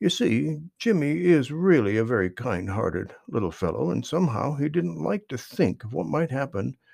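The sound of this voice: The voice heard here is an unforced reading voice.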